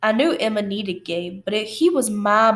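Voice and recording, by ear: The text is read aloud in a natural voice, its pitch varying in an ordinary way.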